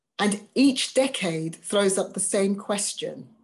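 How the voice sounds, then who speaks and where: Breathing somewhat breathily, a woman with an English accent talks at a very slow pace against a quiet background. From England. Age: 50s. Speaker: diversity vocations officer for a church; webinar speaker. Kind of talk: webinar talk. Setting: video call. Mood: earnest, engaged. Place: home room. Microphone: webcam.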